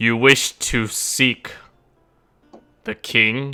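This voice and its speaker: Using a medium pitch, a man performs a put-on character voice. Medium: actual play. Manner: condescending, slow.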